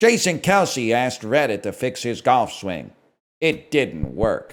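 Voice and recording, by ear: A man's put-on character voice at a medium pitch. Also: moderate pace.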